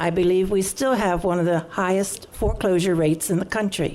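Fairly quick speech from a woman, with room echo clearly audible. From Maryland, Prince George's County (Beltsville). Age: 70s. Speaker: public hearing speaker, local resident. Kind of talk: public testimony at council hearing. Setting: council chamber public hearing. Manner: formal, prepared statement.

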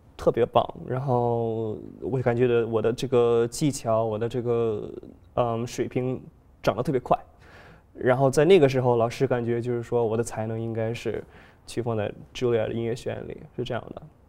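The tone is dark and mellow, with fairly even intonation at a moderate pace. Long pauses come often. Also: man. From China. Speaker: pianist and composer; guest. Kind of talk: interview. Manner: halting. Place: studio. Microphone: lapel.

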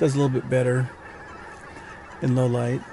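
Noticeable background noise behind a man, the sound dry with no echo. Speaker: wildlife photographer vlogger. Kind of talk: casual vlog chat. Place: car. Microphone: phone near.

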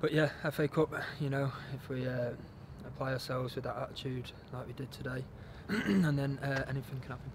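A man rushes through his words at a very fast pace, intonation fairly even, with noticeable background noise present. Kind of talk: interview answer. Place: stadium.

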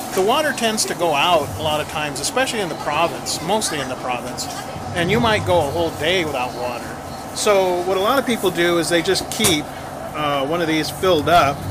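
Noticeable background noise runs under the recording. A man talks at a fairly quick pace. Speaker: vlogger. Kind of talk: casual vlog chat. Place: shop. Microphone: phone near.

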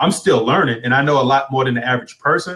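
A man talks at a very fast pace. Around him, the background is quiet. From United States. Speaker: online business coach and blogger; online business coach, blogger. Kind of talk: live interview. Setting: live video stream on Facebook. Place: home room. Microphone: video call.

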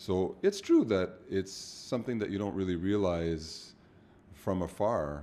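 A man talks at a fairly slow pace in a very deep, low pitch with a dark, mellow tone and ordinary pitch variation. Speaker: business co-founder. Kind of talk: casual chat. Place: office. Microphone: studio mic.

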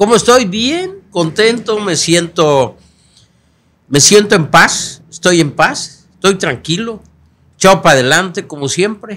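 Speaking at a very slow pace, a man uses a high, bright and sharp voice with lively intonation. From Mexico, Guerrero. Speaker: politician, senate candidate; candidate. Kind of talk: interview. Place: studio. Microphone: studio mic.

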